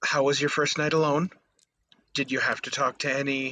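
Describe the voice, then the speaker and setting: A man's put-on character voice at a fairly high pitch, moderate pace and monotone, flat intonation. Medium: read story. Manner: soft, hesitant.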